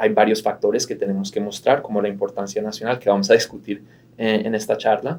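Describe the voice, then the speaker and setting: A man's dark, mellow voice sits at medium pitch with monotone, flat intonation. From Colombia (Bogotá) until 8, then Miami. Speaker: immigration lawyer. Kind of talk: conversational interview.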